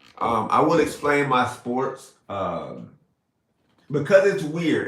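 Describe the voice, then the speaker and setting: Animated and lively in intonation, a man with a Florida accent speaks at a fairly high pitch in a bright, sharp tone with vocal fry. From South Florida. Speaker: live streamer. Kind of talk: casual live stream chat. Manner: animated, casual.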